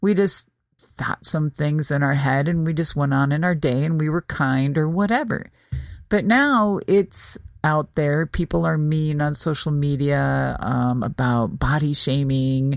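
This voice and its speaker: A woman's very deep, low voice at a fairly slow pace, very even in loudness, in a very clean recording with a silent background. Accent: American. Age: 60s. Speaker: podcast host and former pro wrestler. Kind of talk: casual monologue. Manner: casual, with many fillers.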